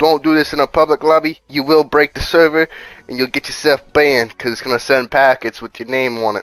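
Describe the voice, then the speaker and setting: Dry and close with no echo, a plain, everyday voice shows ordinary pitch variation. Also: man. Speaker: gaming youtuber. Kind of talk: gameplay tutorial. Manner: casual, profane.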